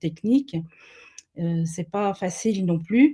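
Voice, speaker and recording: Her voice is somewhat breathy, with a dark, mellow tone. The woman speaks at a medium pitch and a fairly slow pace. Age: 70s. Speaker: family constellation therapist. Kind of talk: webinar interview. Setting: webinar video call. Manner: hesitant, many fillers.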